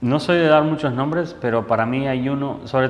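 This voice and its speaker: The speech keeps a moderate pace, and the room's echo is audible. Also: man. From Argentina, Buenos Aires. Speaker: photojournalist. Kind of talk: interview. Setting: photo club room.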